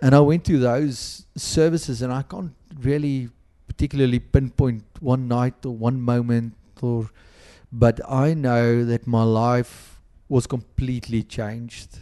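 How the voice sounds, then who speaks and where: This man has a South African accent and medium pitch. His tone is dark and mellow, and his pace is fairly slow. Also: fairly even intonation. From South Africa, Western Cape (Boland). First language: Afrikaans. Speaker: pastor. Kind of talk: interview. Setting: podcast recording.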